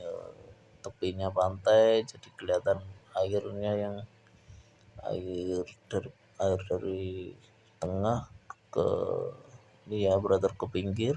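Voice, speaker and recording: A man's fairly low voice with a dark, mellow tone, fairly even intonation, a very slow pace and long, frequent pauses. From Java, Indonesia. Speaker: painting tutorial youtuber. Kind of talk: painting tutorial with casual chat. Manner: casual, hesitant with fillers.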